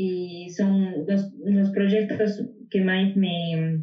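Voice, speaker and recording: A woman's voice, somewhat breathy and medium in pitch, rises and falls with ordinary variation. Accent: Spanish. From Bolivia. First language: Spanish (speaking Portuguese). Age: 20s. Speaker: double bassist, music student. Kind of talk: interview conversation.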